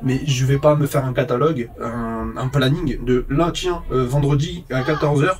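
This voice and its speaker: Over noticeable background noise, a man with fairly high pitch talks at a fairly slow pace with fairly even intonation and hardly any pauses. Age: 30s. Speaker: vlogger, phone repairer. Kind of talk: casual monologue vlog.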